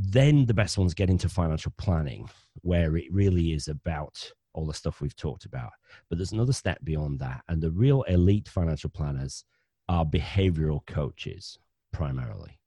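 In a northern English accent, a man speaks at a moderate pace with a very deep, low pitch and a dark, mellow tone that is somewhat breathy. His intonation is lively, and the sound is dry and close with no echo against a quiet background. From northern England, Bradford, West Yorkshire. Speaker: financial planner and podcaster. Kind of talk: interview conversation.

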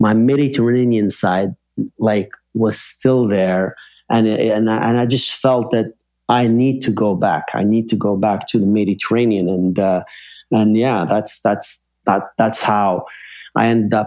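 Speaking at a fairly slow pace, a man with an unremarkable speaking voice and fairly low pitch keeps very even loudness and fairly even intonation. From Algeria, then Montreal, Canada. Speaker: international banker. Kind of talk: casual interview.

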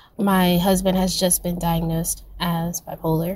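The woman's voice is somewhat breathy. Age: 20s. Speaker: listener leaving voice memo. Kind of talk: voice memo testimony. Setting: recorded voice memo.

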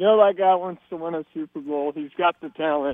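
With an American accent, a man talks at a moderate pace in a plain, everyday voice, his intonation fairly even. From Texas, San Antonio. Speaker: radio caller. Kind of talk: call-in sports talk.

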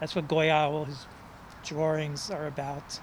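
A man with a New York accent, a fairly high pitch and a fairly slow pace. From New York City (Manhattan, Bronx). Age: 60s. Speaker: poet and author. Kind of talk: interview storytelling.

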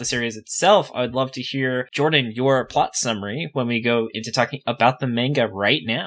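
A man uses an ordinary speaking voice, keeping a medium pitch, ordinary pitch variation and a moderate pace. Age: 20s. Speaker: podcast host. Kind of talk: casual chat.

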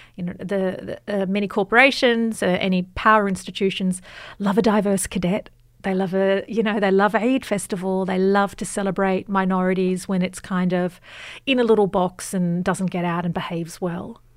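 A woman with an Australian accent speaks at medium pitch and a moderate pace with fairly even intonation. The recording is very clean, with a silent background. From Australia, Western Sydney. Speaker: journalist and author. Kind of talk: interview.

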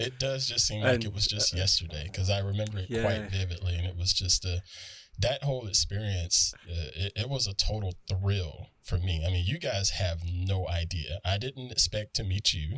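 Speaking at a fairly low pitch, a man talks with a Southern US accent. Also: ordinary pitch variation. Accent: Southern US drawl. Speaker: podcast guest. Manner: slow, unhurried speech.

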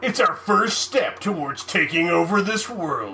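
A put-on character voice, female-sounding and at a medium pitch for a woman, delivers a dramatic tone at a moderate pace over clear background noise. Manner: dramatic movie announcer voice.

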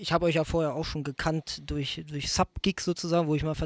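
The very clean recording, with its silent background, carries a man's fairly high voice in monotone, flat intonation. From Germany. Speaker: bassist in a soul band. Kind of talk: casual chat. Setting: studio.

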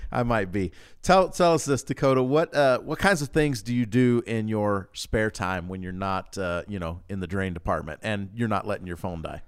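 With hardly any pauses and a moderate pace, a man speaks in a plain, everyday voice, fairly low in pitch with lively intonation, on a very clean recording with a silent background. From US South (Louisiana, Georgia). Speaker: podcast host. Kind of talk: scripted intro; casual interview. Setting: studio.

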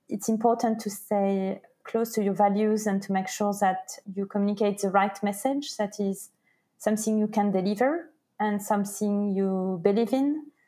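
A woman speaks in a French accent with a dark, mellow tone and medium pitch. Her intonation is fairly even and her pace moderate. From France. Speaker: entrepreneur. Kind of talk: interview.

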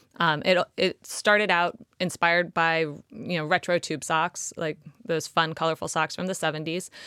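With a Southern California accent, a woman talks at a moderate pace in a fairly low pitch, her bright, sharp tone and fairly even intonation captured in a very clean, dry, close recording with a silent background and no echo. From Los Angeles, California. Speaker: startup founder. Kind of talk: interview conversation.

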